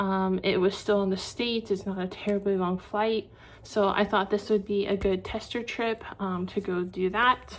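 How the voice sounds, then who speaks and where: The talking holds a moderate pace, its intonation monotone and flat. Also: woman. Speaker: vlogger. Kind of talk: casual vlog talk to camera. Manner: chatty with many filler ums.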